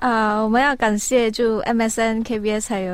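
The woman's voice sits at a fairly high pitch. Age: 20s. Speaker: esports player. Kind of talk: casual interview.

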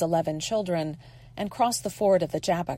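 A woman with an unremarkable speaking voice talks at a fairly low pitch. Her pace is moderate and her pitch variation ordinary. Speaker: lay scripture reader. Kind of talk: reading aloud.

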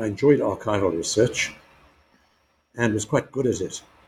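This man's somewhat breathy voice has a dark, mellow tone, ordinary pitch variation and a moderate pace. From South Africa, KwaZulu-Natal. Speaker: retired history professor. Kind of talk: interview.

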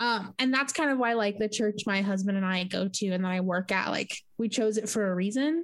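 With an American accent and a normal speaking voice, a woman talks at a fairly quick pace in a medium pitch, her loudness very even and her pauses hardly there. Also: ordinary pitch variation. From US West Coast, southern California. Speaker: podcast co-host. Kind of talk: casual chat. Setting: video call. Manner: casual, many fillers.

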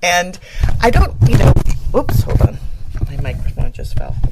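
A woman speaks over noticeable background noise. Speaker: radio host. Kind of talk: casual chat. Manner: animated.

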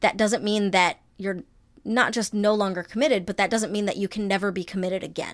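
This is a woman speaking at medium pitch. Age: 30s. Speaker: former youth minister, podcast guest. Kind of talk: interview. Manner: hesitant, many fillers.

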